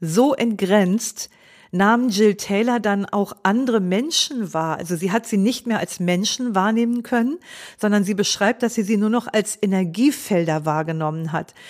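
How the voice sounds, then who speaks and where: Delivered at a fairly slow pace with ordinary pitch variation, an ordinary speaking voice comes through a very clean recording with a silent background. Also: woman, medium pitch for a woman. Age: 60s. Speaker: mindfulness teacher and podcast host. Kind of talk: solo podcast talk.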